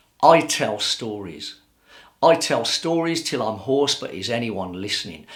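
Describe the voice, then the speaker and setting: Using a plain, everyday voice, a man talks at a fairly slow pace. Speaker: spoken word poet. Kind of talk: spoken word poetry performance.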